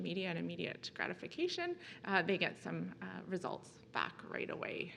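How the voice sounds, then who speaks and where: With a bright, sharp tone and vocal fry, a woman speaks amid audible room echo. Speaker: nursing professor. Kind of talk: conference presentation. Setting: conference talk. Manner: hesitant, many fillers.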